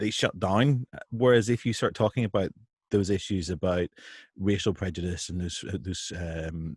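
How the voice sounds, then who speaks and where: A man's very deep, low voice, somewhat breathy, at a moderate pace with ordinary pitch variation, dry and close with no echo, over a quiet background. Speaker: writer and interview host. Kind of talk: interview conversation. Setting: live stream video call. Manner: halting, repeats words.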